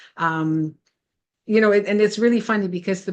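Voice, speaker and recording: A woman's voice at medium pitch, an ordinary speaking voice at a fairly quick pace, with ordinary pitch variation. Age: 60s. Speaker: health coach vlogger. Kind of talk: casual vlog talk. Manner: conversational with many fillers.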